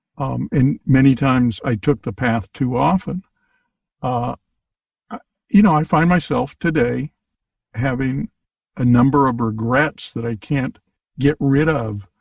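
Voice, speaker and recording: In a dry, close recording with no echo, a somewhat breathy man at medium pitch talks at a fairly slow pace with long, frequent pauses and ordinary pitch variation. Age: 70s. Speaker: podcast guest. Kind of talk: casual chat.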